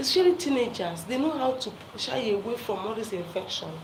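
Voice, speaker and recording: A woman in an animated tone at a moderate pace, with audible room echo and noticeable background noise. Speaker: health talk presenter. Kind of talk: live talk to viewers. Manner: loud.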